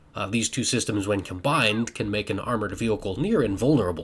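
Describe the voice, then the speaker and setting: Somewhat breathy, this man talks with a fairly low pitch. His pace is fairly quick. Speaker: science fiction author and video creator. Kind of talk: educational talk while playing a video game.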